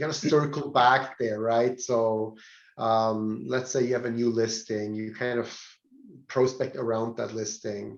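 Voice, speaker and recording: A man with a non-native accent. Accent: non-native English speaker. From Switzerland. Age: 40s. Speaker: real estate trainer. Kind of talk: training seminar. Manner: hesitant, repeats words.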